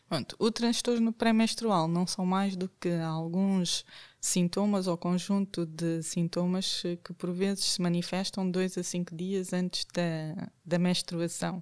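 A woman speaks at a very slow pace with fairly even intonation and a medium pitch. The recording is very clean with a silent background and a dry, close sound with no echo. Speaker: family doctor. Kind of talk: expert interview.

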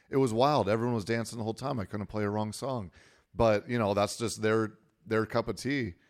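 In a very clean recording with a silent background, a man speaks at a fairly quick pace in an ordinary speaking voice, medium in pitch with fairly even intonation. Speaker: wedding DJ. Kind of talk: casual podcast interview. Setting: studio. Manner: easygoing, joking.

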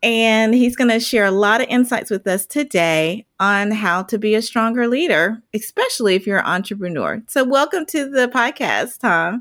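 A woman's fairly high pitch with ordinary variation, very even loudness, a moderate pace with hardly any pauses, and an unremarkable speaking voice. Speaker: podcast host and leadership consultant. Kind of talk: interview conversation.

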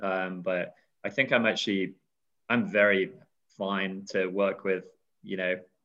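A man with a British accent speaks at a moderate pace and fairly low pitch. The background is quiet. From UK. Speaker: crowdfunding business development director. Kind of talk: casual interview chat.

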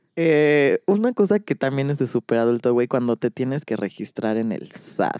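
A man with a Mexican accent and a dark, mellow tone talks at a moderate pace with lively intonation and hardly any pauses, the sound dry and close with no echo. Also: medium pitch for a man. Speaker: podcast co-host. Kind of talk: casual chat.

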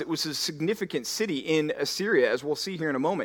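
An unremarkable speaking voice from a man with an American accent, fairly high in pitch, at a fairly quick pace with ordinary pitch variation. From Texas, Dallas. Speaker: pastor. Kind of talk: sermon.

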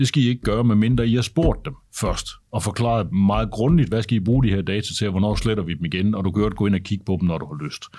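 Very fast in pace, a man speaks at a fairly low pitch on a very clean recording with a silent background. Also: ordinary pitch variation. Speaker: journalist and tech critic. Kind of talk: casual interview.

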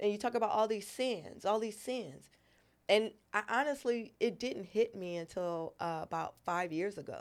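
In a normal speaking voice with an American accent, a woman talks at a moderate pace and medium pitch with ordinary pitch variation over a very clean, silent background. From Los Angeles and New York. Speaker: comedian and military veteran. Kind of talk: casual chat.

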